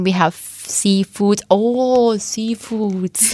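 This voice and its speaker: A Thai accent with fairly even intonation, in a dry, close sound with no echo. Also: woman. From eastern Thailand. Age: 20s. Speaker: nursing student. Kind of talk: radio interview.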